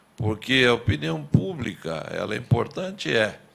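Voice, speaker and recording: A man speaks very slowly with vocal fry. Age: 70s. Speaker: former mayor and politician. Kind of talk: testimony at public hearing. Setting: public hearing.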